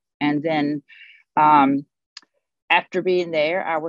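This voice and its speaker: A woman speaks in a very deep, low pitch at a very slow pace. Her pitch variation is ordinary, and the sound is dry and close with no echo. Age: 60s. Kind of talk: interview. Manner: halting.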